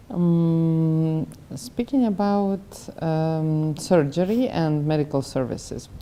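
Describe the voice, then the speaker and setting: Amid noticeable background noise, a woman speaks at a very slow pace. Her pitch is very deep and low, with ordinary variation. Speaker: doctor, interviewer. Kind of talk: interview questions.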